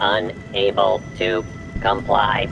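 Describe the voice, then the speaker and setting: A man puts on a character voice at a medium pitch while music plays clearly in the background. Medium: machinima. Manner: clipped, mechanical.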